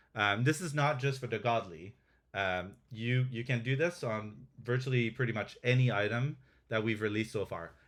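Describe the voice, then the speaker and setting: A French accent at a moderate pace with ordinary pitch variation, recorded very cleanly against a silent background. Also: man, medium pitch for a man. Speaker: game developer presenting updates. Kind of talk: live stream product demo. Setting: live Twitch stream. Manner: hesitant, many fillers and restarts.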